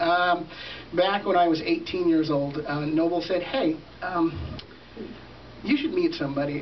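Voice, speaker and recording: This man's voice is high in pitch, moving at a moderate pace with ordinary pitch variation, and there is noticeable background noise and audible room echo. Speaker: event host. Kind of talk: storytelling speech. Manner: soft-spoken; halting.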